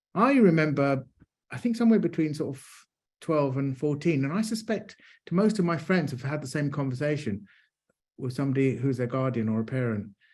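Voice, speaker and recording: Somewhat breathy speech comes at a fairly quick pace, with lively intonation and big swings in loudness. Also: man, fairly high pitch for a man. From London, England. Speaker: neurodiversity advocate, panelist. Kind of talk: panel discussion.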